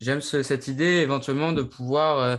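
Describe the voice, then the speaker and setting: In a plain, everyday voice, a man speaks at a moderate pace with ordinary pitch variation against a quiet background. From Brittany, France. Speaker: podcast co-host. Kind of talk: casual chat.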